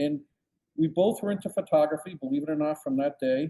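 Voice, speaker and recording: Speaking at a fairly quick pace, a man with a US Northeastern accent has a dark, mellow tone. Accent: US Northeast. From Connecticut, Bridgeport. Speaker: photographer. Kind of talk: interview. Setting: podcast.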